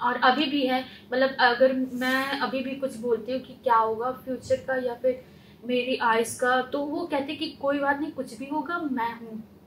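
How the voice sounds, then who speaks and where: Noticeable background noise sits behind a woman's voice. Her pitch is high and her intonation fairly even. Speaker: trainee with visual impairment. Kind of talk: interview answer.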